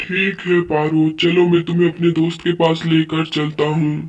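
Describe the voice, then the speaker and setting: A put-on character voice at middle pitch, monotone and flat in intonation. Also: moderate pace. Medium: machinima. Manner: warm, persuasive.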